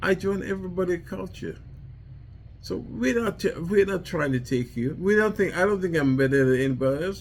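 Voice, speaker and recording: A man with a Trinidadian accent talks at a fairly quick pace. His high pitch moves with lively intonation. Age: 70s. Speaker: war veteran and vlogger. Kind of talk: personal monologue vlog. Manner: halting, repetitive.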